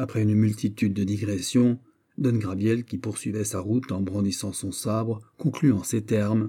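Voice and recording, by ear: The reading is done aloud in a natural voice, with intonation that stays fairly even.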